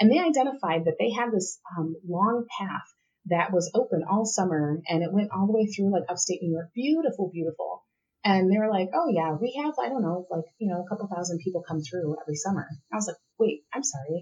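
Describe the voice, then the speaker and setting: A woman's somewhat breathy, dark, mellow voice at a medium pitch, with lively intonation and a fairly quick pace. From Puerto Rico. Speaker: ministry consultant and pastor. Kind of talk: interview conversation.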